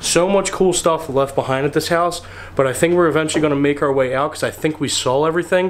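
The man's pitch is fairly high, with ordinary variation. He talks at a fast pace.

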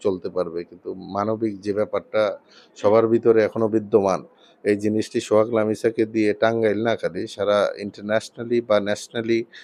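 Against a quiet background, a man speaks in a fairly low, flat, monotone voice. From Tangail, Bangladesh. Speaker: lawyer and parliamentary hopeful. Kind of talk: interview.

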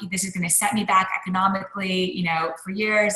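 The pace is moderate, with ordinary pitch variation. Audible room echo fills a quiet background. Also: woman. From Canada, Montreal. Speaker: author and lecturer; lecturer. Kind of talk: interview conversation. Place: home room. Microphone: video call.

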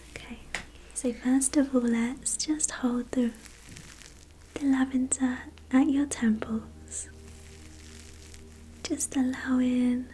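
A high-pitched woman's voice, monotone and flat, with long, frequent pauses and music in the background. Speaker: Reiki practitioner and ASMR creator. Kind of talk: ASMR reiki session, personal attention. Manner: soft-spoken, slow, soothing. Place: home room. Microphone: studio mic.

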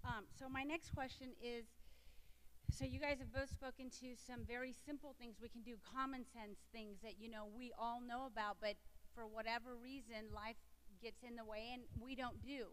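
A woman with an American accent and an unremarkable speaking voice, fairly high in pitch, at a moderate pace with fairly even intonation. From Texas. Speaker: panel moderator. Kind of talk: panel discussion. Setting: stage with audience.

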